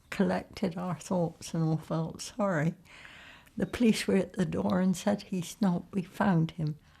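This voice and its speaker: Over a very clean, silent background, a woman with a West Country accent speaks at a fairly slow pace in a dark, mellow tone, with a fairly low pitch, vocal fry and ordinary pitch variation. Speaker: interviewee sharing family wartime memories. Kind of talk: oral history interview.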